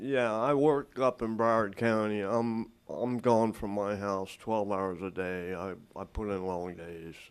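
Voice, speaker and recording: An ordinary speaking voice from a man, fairly low in pitch, with an American accent, ordinary pitch variation, hardly any pauses, and a very clean recording over a silent background. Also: fairly slow pace. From South Florida. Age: 60s. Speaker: resident at code hearing. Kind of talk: hearing testimony. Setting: city hall council chambers.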